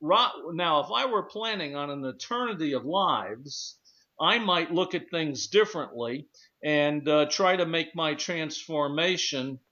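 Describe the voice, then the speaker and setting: A man with a normal speaking voice talks at a fairly high pitch and fairly slow pace, his intonation lively. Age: 60s. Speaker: radio talk show host. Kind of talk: radio discussion show.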